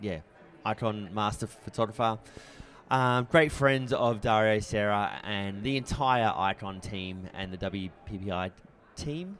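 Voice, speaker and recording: A man's fairly slow delivery shows ordinary pitch variation. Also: fairly low pitch for a man. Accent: Australian. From Australia, Brisbane. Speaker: photography competition judge. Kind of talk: live critique. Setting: trade show booth with audience, livestream. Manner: casual.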